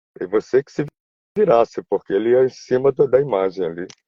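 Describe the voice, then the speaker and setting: Very wide pitch swings in a man's medium voice. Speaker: voice actor. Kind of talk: interview. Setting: online live video stream. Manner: halting, with many repeated words.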